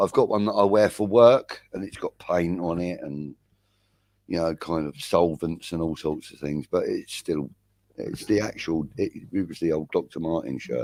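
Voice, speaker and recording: With a London accent, a man speaks at a fairly slow pace in a very deep, low pitch, with ordinary pitch variation and a dry, close sound with no echo. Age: 50s. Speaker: livestream host and football fan. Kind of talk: casual chat.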